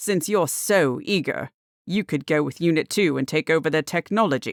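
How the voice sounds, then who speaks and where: Putting on a character voice, a woman bellows and growls at a fairly low pitch with ordinary pitch variation. Her pace is moderate and her loudness very even. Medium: read story. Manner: curt, authoritative.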